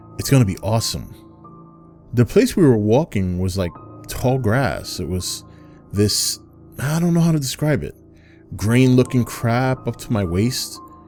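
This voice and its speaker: With music in the background, a man at a medium pitch speaks fairly slowly through very wide pitch swings. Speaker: storyteller narrator. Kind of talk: horror story narration.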